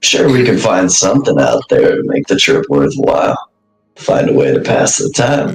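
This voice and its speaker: A raspy, put-on character voice at a moderate pace, with faint music in the background. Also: man. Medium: actual play. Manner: laid-back, sly.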